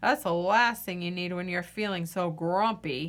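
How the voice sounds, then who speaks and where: A woman puts on a character voice with a gentle tone. Her pitch is medium and her pace moderate. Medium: read story. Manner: kindly, gentle.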